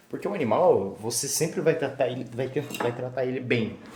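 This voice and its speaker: Noticeable background noise and audible room echo around a man at medium pitch, moderate pace and ordinary pitch variation. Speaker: vlogger. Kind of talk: casual vlog. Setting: at home. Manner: casual, halting.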